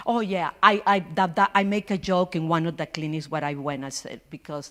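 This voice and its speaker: A woman with a Spanish accent talks at a moderate pace. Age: 60s. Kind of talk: personal testimony. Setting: church forum with audience, holding mic. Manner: halting.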